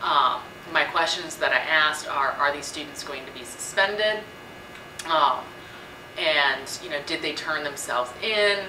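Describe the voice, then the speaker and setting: A woman with a very deep, low pitch and ordinary pitch variation speaks at a fairly slow pace with long, frequent pauses and big swings in loudness. Audible room echo and noticeable background noise are present. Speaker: student vlogger. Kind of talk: casual vlog commentary. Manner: hesitant with many fillers.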